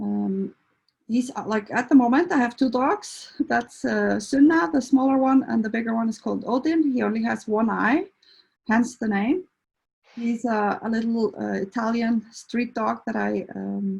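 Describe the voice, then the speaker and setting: A woman speaks with an Icelandic accent. Her pace is moderate. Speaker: veterinarian and animal behaviour counsellor. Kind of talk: presentation talk. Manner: halting, many fillers.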